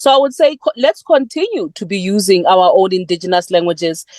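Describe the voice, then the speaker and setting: Recorded with a dry, close sound and no echo, a woman of medium pitch speaks with a South African accent. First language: Sepedi. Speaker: poet. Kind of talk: panel discussion.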